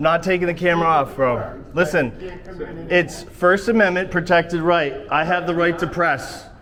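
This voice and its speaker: A loud, high-pitched male voice at a moderate pace with fairly even intonation, audible room echo and noticeable background noise. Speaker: first amendment auditor. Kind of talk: heated confrontation. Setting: courthouse entrance.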